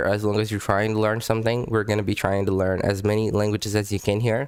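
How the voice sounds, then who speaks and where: Recorded very cleanly against a silent background, a man with a non-native accent speaks fairly quickly in a fairly low voice. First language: not English. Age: adult. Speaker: language-learning YouTuber. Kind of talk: casual vlog commentary. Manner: halting, many repetitions and fillers; animated.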